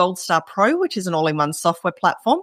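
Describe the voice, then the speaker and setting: Recorded very cleanly against a silent background, a woman with an Australian accent talks at a fairly quick pace with very wide pitch swings. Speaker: entrepreneur. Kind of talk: podcast interview.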